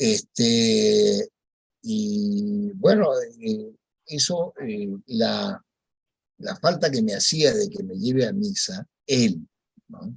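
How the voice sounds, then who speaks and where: Speaking at a very slow pace, a man leaves long, frequent pauses while his loudness swings widely and his pitch moves through very wide swings. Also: fairly high pitch for a man. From Peru. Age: 70s. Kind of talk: testimony. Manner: halting.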